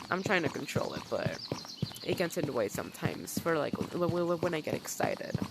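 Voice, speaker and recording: Noticeable background noise under a fairly quick pace of speech. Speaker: gaming youtuber. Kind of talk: game tutorial commentary. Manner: halting, repeated syllables.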